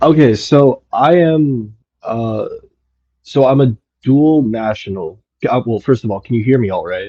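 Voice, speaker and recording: Using an American accent, a man talks at a medium pitch and fairly slow pace, with ordinary pitch variation and long, frequent pauses. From United States. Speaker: caller. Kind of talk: question to host in live audio space.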